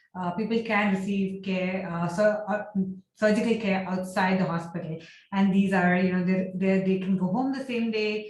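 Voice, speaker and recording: With a monotone, flat intonation, a woman speaks at a medium pitch in a somewhat breathy voice, with audible room echo. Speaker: architecture and healthcare design researcher. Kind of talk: lecture. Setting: video call. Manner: fast.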